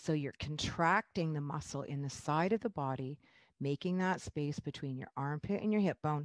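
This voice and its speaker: A woman talks in a very deep, low voice. The background is quiet. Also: dry sound with no echo. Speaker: fitness instructor. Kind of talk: exercise class instruction. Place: home room. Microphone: headset.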